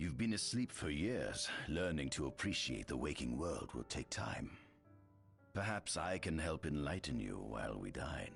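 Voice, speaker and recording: A man's put-on character voice, very deep and low, at a moderate pace over clear music in the background. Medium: video game. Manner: smooth, ingratiating.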